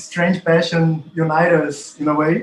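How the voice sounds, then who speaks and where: A man's high-pitched voice with a Portuguese accent, at a fairly slow pace. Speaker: professor and researcher. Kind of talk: academic conversation. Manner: halting.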